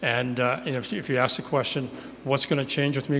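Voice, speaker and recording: The speaker has a Canadian accent and a fairly quick pace. Audible room echo surrounds the voice. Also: man. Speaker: city councillor running for re-election. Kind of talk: candidate opening speech. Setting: church hall, stage with live audience. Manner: fast, sometimes mumbling.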